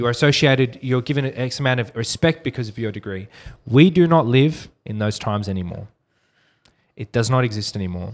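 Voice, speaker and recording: A man with an Australian accent talks at a fairly quick pace and medium pitch, with ordinary pitch variation, in a very clean recording over a silent background. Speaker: digital marketing agency owner. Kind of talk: casual interview.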